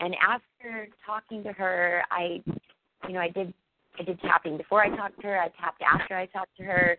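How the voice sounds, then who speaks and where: A woman talks at a fairly quick pace with a medium pitch. Her intonation is monotone and flat. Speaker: coaching client. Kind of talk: emotional personal testimony in a coaching session. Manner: quiet; halting, repeating words.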